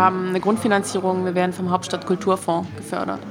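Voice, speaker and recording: Over noticeable background noise, a woman talks very fast at a medium pitch with fairly even intonation. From Stuttgart, Swabia. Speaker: animator and festival organizer. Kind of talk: casual interview. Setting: restaurant.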